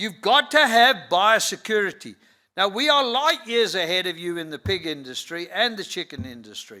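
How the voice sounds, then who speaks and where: A man's raised, projected voice, high-pitched and bright, sharp in tone, with very wide pitch swings, big swings in loudness and a moderate pace. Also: very clean recording, silent background. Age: 70s. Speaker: conference speaker, livestock industry figure. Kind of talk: conference talk. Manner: emphatic.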